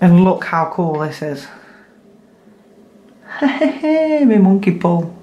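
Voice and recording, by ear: In a room with audible echo, a woman with a fairly low voice talks at a very slow pace with big pitch swings.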